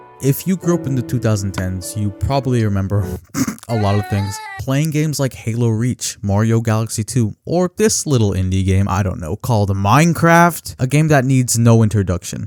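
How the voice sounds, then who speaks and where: With lively intonation and a medium pitch, a man talks at a moderate pace while noticeable background noise plays underneath. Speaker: video essay narrator. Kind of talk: ARG analysis narration.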